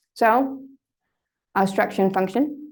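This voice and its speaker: A woman speaks with ordinary pitch variation, and some room echo can be heard. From Denmark. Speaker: lecturer. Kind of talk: lecture. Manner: conversational, uses fillers.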